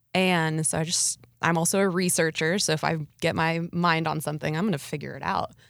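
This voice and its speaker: On a very clean recording with a silent background, a woman with an American accent speaks fairly quickly in a fairly low, flat monotone. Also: very even loudness. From US Midwest, Nebraska. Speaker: entrepreneur. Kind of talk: interview.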